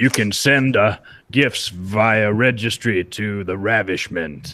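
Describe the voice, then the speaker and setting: In a put-on character voice, a man booms and bellows at a fairly low pitch and a fairly slow pace. The recording is very clean, with a silent background. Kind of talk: mock-formal. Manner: bellowing, ravishing.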